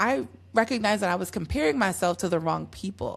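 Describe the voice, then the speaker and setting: Vocal fry runs through this woman's speech. Her intonation leaps across a very broad range. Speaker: podcast host. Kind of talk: solo podcast monologue.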